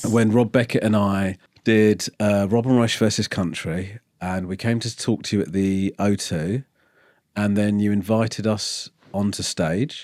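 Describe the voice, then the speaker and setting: This is a man speaking. He has an English accent. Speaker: comedian and chat show host. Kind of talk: casual interview talk.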